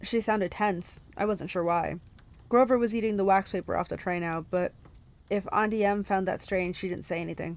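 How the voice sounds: The reading voice here sounds natural.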